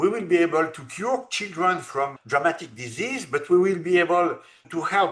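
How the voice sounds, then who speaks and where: Slowly but with lively intonation, a man with a high pitch speaks in a bright, sharp tone. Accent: French. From France. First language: French. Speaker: robotics entrepreneur. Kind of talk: interview. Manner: halting.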